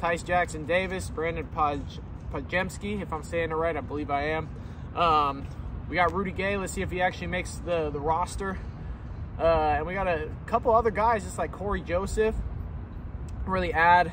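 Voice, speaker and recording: A man talks at a moderate pace with long, frequent pauses, in a dry sound with no echo and noticeable background noise. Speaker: sports fan vlogger. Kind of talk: casual vlog chat. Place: street. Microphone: phone near.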